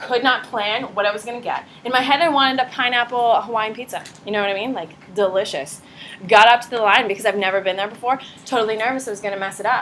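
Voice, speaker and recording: A woman's fairly high, animated voice at a very fast pace. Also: big swings in loudness. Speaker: high school psychology teacher. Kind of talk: classroom lecture.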